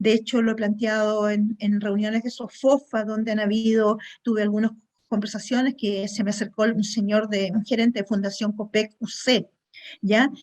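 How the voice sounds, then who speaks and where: A woman talks at a moderate pace in a somewhat breathy voice. Her delivery is monotone, with flat intonation. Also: fairly high pitch for a woman. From Chile. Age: 60s. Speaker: webinar attendee, food industry chemist. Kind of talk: audience question.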